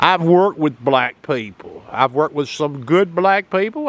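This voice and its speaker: In a Southern US accent, a man speaks at a high pitch and a moderate pace. His tone is animated, with lively intonation. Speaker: political commentator. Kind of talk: opinion monologue.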